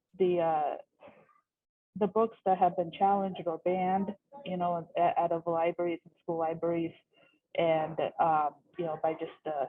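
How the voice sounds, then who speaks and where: Long, frequent pauses and big swings in loudness at a moderate pace, with a Pacific Northwest accent and fairly even intonation. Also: woman, fairly low pitch for a woman. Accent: American, Pacific Northwest. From US Pacific Northwest, Seattle. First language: Russian. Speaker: bookstore worker. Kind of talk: casual chat. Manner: halting, many fillers.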